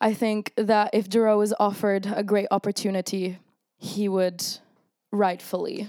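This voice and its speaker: A woman's medium-pitched voice with flat, monotone intonation. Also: moderate pace. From Italy. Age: 20s. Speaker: band singer being interviewed. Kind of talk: casual interview chat.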